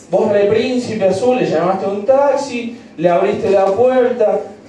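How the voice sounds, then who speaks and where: The speaker's intonation is lively, with audible room echo and light background noise. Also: man. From Argentina. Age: 20s. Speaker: stand-up comedian. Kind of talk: stand-up comedy, crude and rapid-fire, peppered with slang and swearing. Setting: stage with audience, piano bar. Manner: irreverent, joking with the crowd, dramatized bits. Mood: playful, joking. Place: bar.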